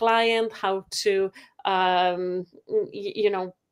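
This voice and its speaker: This is a woman speaking. She has a Polish accent. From Poland. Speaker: photography software company rep and photographer. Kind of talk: webinar presentation. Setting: video call webinar. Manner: halting, many fillers.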